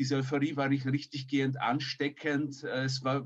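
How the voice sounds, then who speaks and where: A somewhat breathy man with a fairly high pitch talks at a moderate pace in a monotone, flat intonation. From emigrated as a child, raised partly elsewhere. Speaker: podcast co-host. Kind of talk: interview. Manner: formal.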